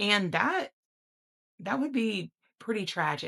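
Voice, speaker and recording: A woman speaks very slowly with vocal fry and a bright, sharp tone, in a very clean recording with a silent background. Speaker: health vlogger. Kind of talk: personal reflection monologue.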